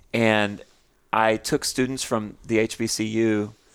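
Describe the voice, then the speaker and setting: A man speaks with an American accent at a fairly low pitch. The recording is very clean, with a silent background. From Texas. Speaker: nonprofit founder and author. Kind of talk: casual chat.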